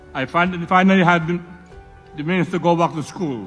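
Faint music plays in the background as a man with a high pitch talks at a moderate pace with fairly even intonation. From Cebu, Philippines. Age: 80s+. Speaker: entrepreneur. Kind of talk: award acceptance speech. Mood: reflective, proud. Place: hall. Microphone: podium.

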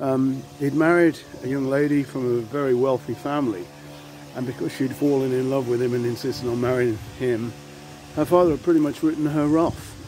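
Over light background noise, a man talks at a fairly quick pace with fairly even intonation, the sound dry with no echo. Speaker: local history vlogger. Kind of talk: casual vlog chat. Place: street. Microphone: phone near.

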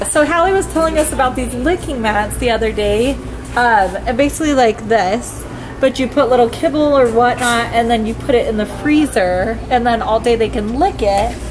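A woman talks at a moderate pace. Faint music can be heard behind her. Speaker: family vlogger. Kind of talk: casual vlog chat. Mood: cheerful, laughing. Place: shop. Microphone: phone near.

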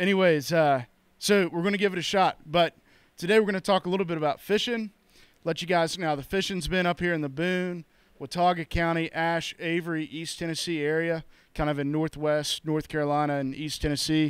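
A man's high-pitched voice at a fairly quick pace, with fairly even intonation, a dry sound with no echo and a quiet background. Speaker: podcast host. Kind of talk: casual podcast intro. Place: shop. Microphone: handheld.

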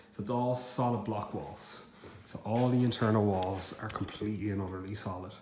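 A man talks at a moderate pace with ordinary pitch variation. Audible room echo and light background noise surround his voice. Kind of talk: casual walkthrough tour. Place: empty room. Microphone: phone near.

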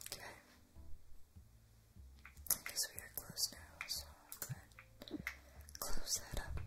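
A woman whispers at a fairly slow pace. Long, frequent pauses break up her speech. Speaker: ASMR creator. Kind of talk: ASMR gameplay commentary. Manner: whispered. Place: home room.

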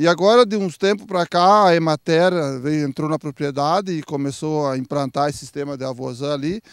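A man with a fairly high pitch and ordinary pitch variation talks at a fairly quick pace against a quiet background, with a dry sound and no echo. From Rio Grande do Sul, Santa Maria area; Rio Grande do Sul, Brazil. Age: 60s. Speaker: dairy farmer. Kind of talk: interview. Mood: calm, explanatory. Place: farm. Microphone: handheld.

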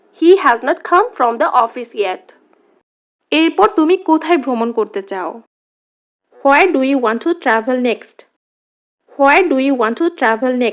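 Her pitch is high. The woman's voice swings very widely up and down. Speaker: English teacher. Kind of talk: tutorial.

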